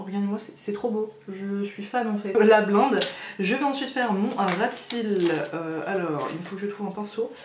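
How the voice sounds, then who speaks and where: A woman with a strong French accent over noticeable background noise. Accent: strong French accent in English words. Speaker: beauty youtuber. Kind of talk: makeup tutorial. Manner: hesitant, many fillers; enthusiastic.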